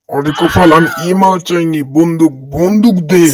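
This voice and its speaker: A man performs a cartoonish character voice at a high pitch. His pace is moderate. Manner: bossy, blustering.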